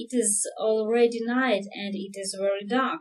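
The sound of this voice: Someone reads aloud in an unforced reading voice.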